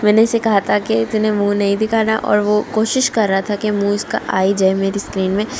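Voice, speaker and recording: A woman at a medium pitch talks in a monotone, flat intonation with hardly any pauses, over noticeable background noise. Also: moderate pace. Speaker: lifestyle vlogger. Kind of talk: casual vlog narration.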